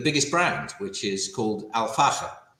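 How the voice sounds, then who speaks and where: In a British accent, a man speaks at a fairly slow pace with lively intonation and a bright, sharp tone. There is audible room echo. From England (London, Wimbledon). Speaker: company CEO. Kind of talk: business interview.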